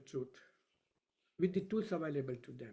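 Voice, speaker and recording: Soft-spoken, a man talks with a fairly high pitch and a dark, mellow tone. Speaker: professor of Vedic science. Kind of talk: lecture. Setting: video call. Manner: quiet. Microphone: too quiet.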